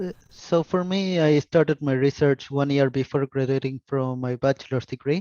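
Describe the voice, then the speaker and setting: A man's fairly high-pitched voice with a dark, mellow tone and a Spanish accent, at a moderate pace with hardly any pauses and ordinary pitch variation, in a dry, close sound with no echo. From Argentina. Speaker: software developer. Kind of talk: panel discussion.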